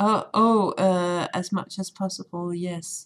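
Fairly low in pitch, a woman with a Danish accent speaks in a monotone, flat intonation. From Denmark. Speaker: tailor and game developer. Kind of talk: casual chat.

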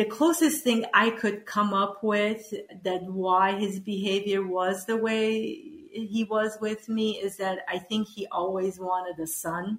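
Over noticeable background noise, a woman speaks at a very slow pace in a medium pitch with ordinary pitch variation. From Iran, moved to US as child. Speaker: spiritual healer and former electrical engineer. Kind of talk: interview.

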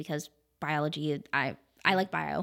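A woman with an American accent is heard in a very clean recording with a silent background and a dry, close sound with no echo. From Wellsville, western New York. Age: 20s. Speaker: funeral director. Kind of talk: casual interview.

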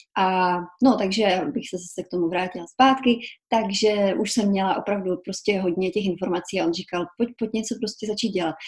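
A woman talks at a moderate pace, somewhat breathy. Her pitch is medium and varies an ordinary amount. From Czech Republic, small village Kobeřice (Silesia). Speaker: journalist and author. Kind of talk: casual interview.

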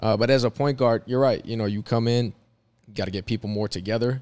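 A man speaks in an unremarkable speaking voice with fairly even intonation, recorded dry and close with no echo. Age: 30s. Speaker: former pro basketball player, recruiting manager. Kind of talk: casual chat.

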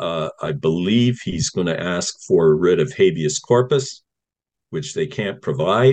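Speaking very slowly with lively intonation, a man has a Canadian accent. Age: 60s. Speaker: retired firefighter and activist. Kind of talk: interview. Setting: video call. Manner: halting.

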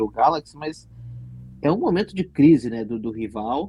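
A man's dark, mellow tone at a moderate pace. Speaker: podcast host. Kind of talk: casual sports chat.

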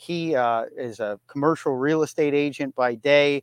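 A man with a plain, everyday voice and a fairly high pitch talks at a moderate pace with fairly even intonation. The background is quiet, and the sound is dry and close, with no echo. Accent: American. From Erie, Pennsylvania. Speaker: cigar industry advocate and cigar maker. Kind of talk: casual interview.

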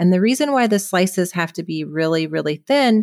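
A woman speaks in a West Coast US accent at a medium pitch with ordinary pitch variation. The recording is very clean, with a silent background. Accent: General American (West Coast). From California. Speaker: dermatopathologist. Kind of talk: educational interview.

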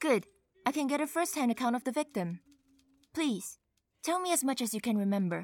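Pitched high with very wide pitch swings, a woman talks at a fairly quick pace with long, frequent pauses and very even loudness, in a dry, close sound with no echo. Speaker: voice actor playing Detective Gully. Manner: angry, exasperated, sharp.

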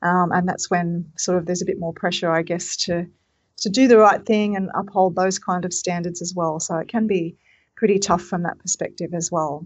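The speaker uses an Australian accent and keeps a moderate pace. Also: woman, fairly low pitch for a woman, fairly even intonation. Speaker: triathlon technical official. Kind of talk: casual chat.

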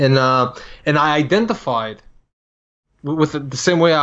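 A man with a non-native accent speaks at a fairly high pitch. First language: not English. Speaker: combat sports coach. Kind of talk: casual chat.

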